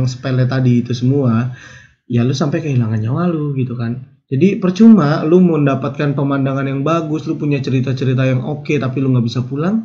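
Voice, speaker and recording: With a Jakarta accent, a man speaks at a fairly quick pace and medium pitch, his tone dark, mellow and somewhat breathy. His pitch varies in an ordinary way, and audible room echo surrounds him. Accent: Betawi. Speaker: YouTube storyteller. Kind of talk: casual narration. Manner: casual.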